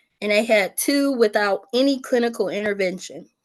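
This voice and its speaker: A woman speaks at a fairly slow pace in a fairly high voice. Her pitch varies in an ordinary way. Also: quiet background. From United States. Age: 60s. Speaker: peer support specialist. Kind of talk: testimony.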